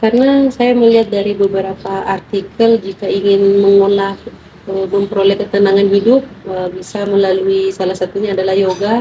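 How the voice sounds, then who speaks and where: Over noticeable background noise, a woman with a medium pitch speaks at a fairly quick pace in a monotone, flat intonation. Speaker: interviewee. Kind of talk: clinical interview. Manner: halting.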